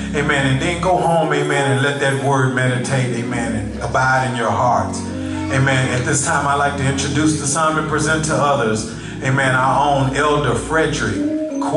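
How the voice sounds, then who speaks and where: Moderate pace, audible room echo and clear music in the background. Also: man. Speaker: speaker. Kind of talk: sermon-style exhortation. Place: church. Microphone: handheld.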